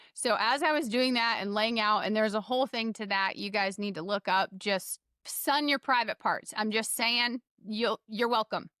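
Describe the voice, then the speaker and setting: With a Southern US accent, a woman speaks at a moderate pace in a fairly high pitch with a bright, sharp, animated tone and ordinary pitch variation, in a very clean recording with a silent background and a dry, close sound with no echo. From US South. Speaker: health coach. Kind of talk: podcast interview.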